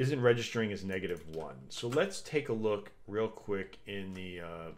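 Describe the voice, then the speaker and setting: With lively intonation and big swings in loudness, a man with a fairly low pitch speaks at a moderate pace. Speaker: game developer streamer. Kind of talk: live coding stream. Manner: casual, halting with fillers.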